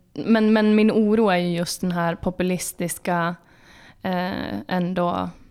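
A woman at a very slow pace with monotone, flat intonation, in a very clean recording with a silent background. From Jämtland, Sweden. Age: 20s. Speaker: podcast host, political editor. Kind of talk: casual interview chat.

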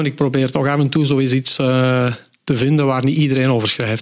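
A man with a fairly high pitch speaks at a moderate pace in an ordinary speaking voice. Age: 50s. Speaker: cycling book author. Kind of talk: podcast interview.

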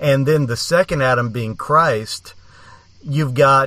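In an ordinary speaking voice, a man talks at a fairly slow pace with a fairly high pitch and ordinary pitch variation. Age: 50s. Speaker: podcast host. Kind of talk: podcast outro; casual chat.

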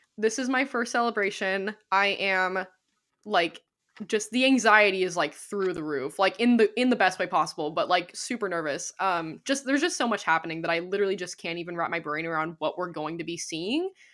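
A woman uses a plain, everyday voice at medium pitch, with lively intonation and a fairly quick pace. The recording is very clean with a silent background. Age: 20s. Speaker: podcast host. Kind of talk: casual chat.

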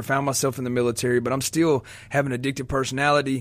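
A man talks at a medium pitch. His intonation stays monotone and flat. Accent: American. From Vicksburg, Mississippi (US South). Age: 30s. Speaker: recovering addict, former gang member and ex-prisoner. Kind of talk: personal testimony. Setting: radio studio.

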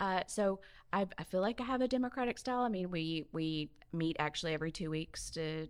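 A woman speaks with a Southern US accent at a moderate pace. The recording is very clean, with a silent background. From Mobile, Alabama. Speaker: health system CEO. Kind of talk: casual chat.

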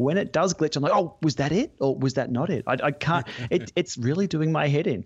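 Somewhat breathy and very even in loudness, a man with an Australian accent speaks at a fairly quick pace and fairly high pitch. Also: ordinary pitch variation. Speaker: podcast co-host.

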